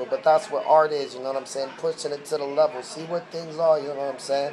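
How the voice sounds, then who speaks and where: A man's fairly high voice, showing normal rise and fall in pitch, comes through with a clear layer of background noise. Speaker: battle rap commentator. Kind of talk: video commentary. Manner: casual slangy.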